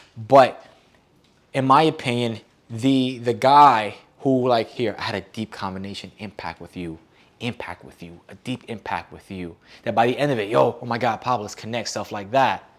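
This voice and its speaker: On a very clean recording with a silent background, a man at medium pitch sounds animated, his loudness swinging widely and his pitch varying an ordinary amount. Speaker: dating coach. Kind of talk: workshop lecture. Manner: fast.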